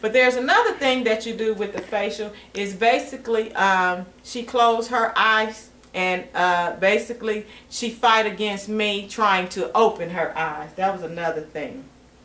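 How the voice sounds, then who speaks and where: Room echo can be heard as a woman speaks fairly slowly in a fairly high pitch with ordinary variation. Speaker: nursing student demonstrating assessment. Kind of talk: demonstration tutorial. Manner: halting.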